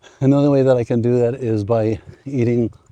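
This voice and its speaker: The speaker uses a dark, mellow, relaxed tone at a fairly slow pace with fairly even intonation, in a dry, close sound with no echo. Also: man. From United States. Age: 60s. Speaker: retiree fitness vlogger. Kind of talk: casual talk to camera. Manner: relaxed, conversational.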